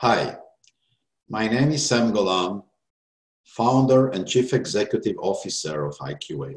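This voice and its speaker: With an Israeli accent, a man speaks at a fairly slow pace and medium pitch, with vocal fry and long, frequent pauses. His pitch swings very widely and his loudness shifts in big swings. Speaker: startup founder. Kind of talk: pitch presentation.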